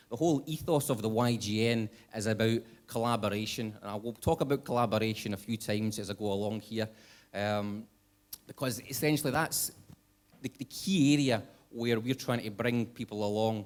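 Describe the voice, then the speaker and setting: This man speaks at a medium pitch with a Scottish accent. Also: ordinary pitch variation, fairly quick pace. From Scotland. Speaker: conference speaker, young nuclear professionals network chair. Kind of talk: conference talk. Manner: hesitant with many fillers.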